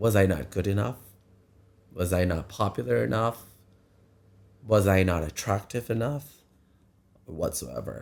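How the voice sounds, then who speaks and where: A man talks slowly in a fairly low pitch with vocal fry and long, frequent pauses. The recording is very clean, with a silent background. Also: lively intonation. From Thailand. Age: 40s. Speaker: drag queen. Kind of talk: personal vlog storytelling. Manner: halting.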